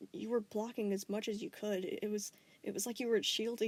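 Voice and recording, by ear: Words are read aloud here in a natural voice.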